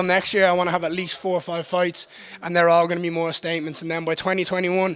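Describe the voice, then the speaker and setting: In an Irish accent, a man races along at a very fast pace, his voice high, with a bright, sharp tone. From Ireland. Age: 20s. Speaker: MMA fighter. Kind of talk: post-fight interview. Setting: backstage medical room. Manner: animated.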